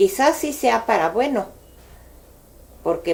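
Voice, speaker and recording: This is a woman talking. She has a central Mexican accent. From Mexico City, Cuajimalpa. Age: 60s. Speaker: local elder sharing memories. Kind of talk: oral history interview. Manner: hesitant, with fillers.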